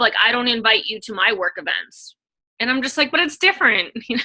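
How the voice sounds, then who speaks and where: Her raised, projected voice carries a bright, sharp tone as the woman talks at a fairly quick pace with lively intonation. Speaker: online fitness coach. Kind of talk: casual chat. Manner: fast.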